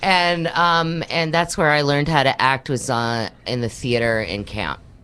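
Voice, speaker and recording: A woman with a slight New York accent speaks at a fairly slow pace in a very deep, low pitch, with a bright, sharp tone and lively intonation. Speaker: acting coach. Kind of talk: interview. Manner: casual, chatty.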